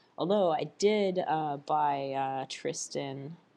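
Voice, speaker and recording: With ordinary pitch variation, a woman speaks in a very deep, low voice. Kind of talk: casual video diary. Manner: halting, many fillers.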